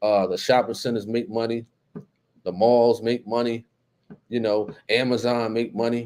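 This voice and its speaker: A man is speaking. He has a New Jersey accent. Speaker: YouTube live-stream host. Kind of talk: casual live-stream chat reading comments. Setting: live stream. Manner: casual, filler-heavy.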